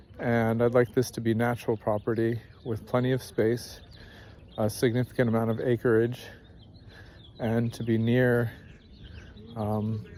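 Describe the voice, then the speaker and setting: In an American accent, a man speaks at medium pitch with a dark, mellow tone and monotone, flat intonation. His pace is fairly slow, with long, frequent pauses. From California, San Francisco Bay Area. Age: 30s. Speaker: vlogger. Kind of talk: personal introduction monologue. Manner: halting.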